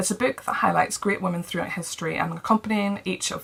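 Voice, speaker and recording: There is noticeable background noise. A woman speaks with a British accent. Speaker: book reviewer. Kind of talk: casual talk to camera.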